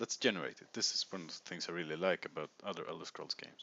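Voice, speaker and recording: A man with a Swedish accent speaks with ordinary pitch variation. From Sweden. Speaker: video game streamer. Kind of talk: let's play commentary. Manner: casual, thinking aloud.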